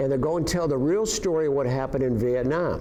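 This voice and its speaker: A man with an upstate New York accent at a fairly quick pace, ordinary pitch variation and audible room echo. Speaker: Vietnam War veteran. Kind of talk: personal storytelling interview. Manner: halting with many fillers and repetitions.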